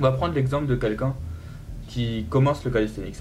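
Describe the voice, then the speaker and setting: With music in the background, a man's medium-pitched voice carries lively intonation. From central France. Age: 20s. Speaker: calisthenics athlete. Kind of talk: podcast interview.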